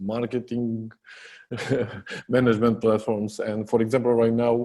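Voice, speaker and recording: Speaking with a Romanian accent, a man uses a medium pitch and a dark, mellow tone. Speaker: software company co-founder. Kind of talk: podcast interview. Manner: hesitant, many fillers.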